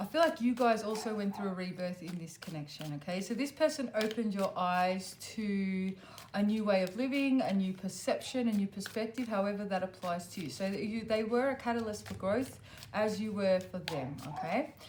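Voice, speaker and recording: With lively intonation at a moderate pace, a woman speaks at medium pitch in an unremarkable speaking voice. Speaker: tarot reader. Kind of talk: tarot reading to camera. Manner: casual, many fillers.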